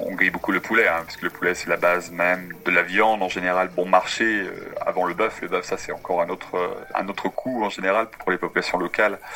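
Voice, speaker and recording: Against noticeable background noise, a man speaks with a very deep, low pitch. His pace is fairly quick and his intonation monotone and flat. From France, Brittany. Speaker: tour guide. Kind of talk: interview. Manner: halting.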